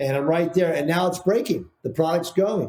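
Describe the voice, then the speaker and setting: This man's voice has a dark, mellow tone, is somewhat breathy, and shows ordinary pitch variation. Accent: American. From Texas. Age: 60s. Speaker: painting products business founder. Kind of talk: podcast interview. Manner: repetitive, restarts often.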